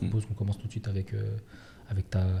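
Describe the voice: A man's fairly low voice with vocal fry and a dark, mellow tone, fast and monotone with flat intonation.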